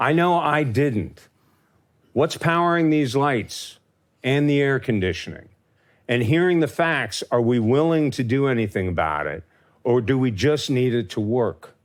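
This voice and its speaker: On a very clean recording with a silent background, a man with an American accent uses a plain, everyday voice at a medium pitch, speaking at a fairly slow pace with lively intonation and very even loudness. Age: 60s. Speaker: farmer. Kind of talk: talk to an audience. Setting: stage with audience.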